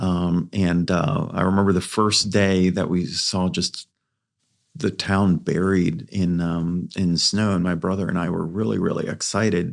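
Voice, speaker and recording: Against a quiet background, a man talks in a very deep, low voice with fairly even intonation. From Greece, then Philadelphia and Montreal. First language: Greek. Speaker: tech company founder. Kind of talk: podcast interview. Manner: many fillers and repetitions.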